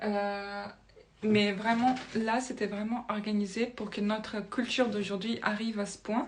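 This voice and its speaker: A woman speaks at a fairly slow pace in a somewhat breathy, monotone, flat voice, with audible room echo around her. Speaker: spiritual video creator. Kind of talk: casual monologue to camera, explaining with drawings. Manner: hesitant, many fillers and restarts.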